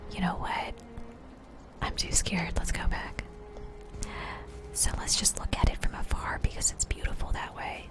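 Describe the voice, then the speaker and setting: Someone whispers at a fairly slow pace in a relaxed tone, with noticeable background noise. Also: woman. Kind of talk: soft-spoken ASMR gameplay commentary. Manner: soft-spoken, relaxed.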